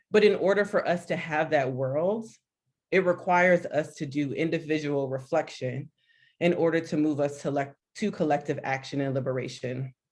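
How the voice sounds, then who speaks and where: A woman's very deep, low voice in an American accent, with ordinary pitch variation, a moderate pace and a quiet background. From Miami, Florida. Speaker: consultant and activist. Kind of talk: panel discussion. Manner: animated.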